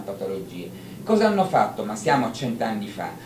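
There is noticeable background noise. A man is speaking. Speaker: conference speaker. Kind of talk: lecture. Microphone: handheld.

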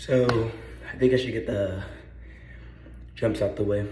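Noticeable background noise sits behind a man's voice. He talks at a fairly slow pace with a medium pitch. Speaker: vlogger. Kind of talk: casual vlog. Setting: garage. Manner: rambling; casual.

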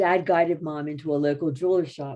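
Against a quiet background, a woman talks at a moderate pace in a very deep, low pitch with a dark, mellow tone. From Philadelphia area, USA; Pennsylvania. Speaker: retired English teacher. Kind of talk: history talk. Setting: video call. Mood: warm storytelling. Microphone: video call.

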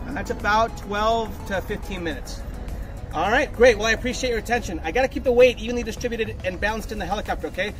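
With music in the background, a man speaks at a very fast pace. His pitch is high and varies in an ordinary way. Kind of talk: safety briefing. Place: street. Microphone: camera far.

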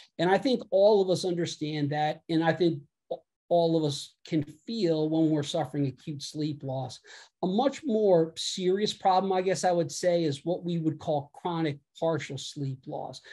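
Over a quiet background, a man with an American accent speaks at a moderate pace in a high pitch, his tone dark and mellow and his pitch variation ordinary. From United States. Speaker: physician. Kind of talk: lecture. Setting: video call. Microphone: video call.

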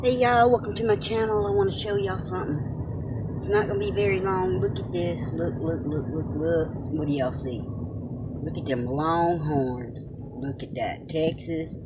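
Noticeable background noise sits under talking delivered at a moderate pace. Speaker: driver vlogger. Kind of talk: casual vlog chat. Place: car. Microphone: phone near.

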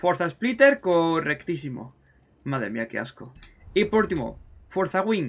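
This man's voice sits high for a man, animated and swinging very widely in pitch. He speaks at a fairly slow pace, with long, frequent pauses. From Spain. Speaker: gaming YouTuber. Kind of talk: gameplay commentary. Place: home room.

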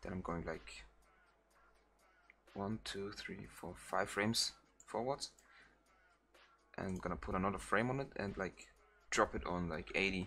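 Speaking with a German accent, a man with a fairly low pitch and a bright, sharp tone leaves long, frequent pauses. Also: ordinary pitch variation, moderate pace. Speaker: video editing tutorial creator. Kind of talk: software tutorial. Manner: halting, many fillers; casual.

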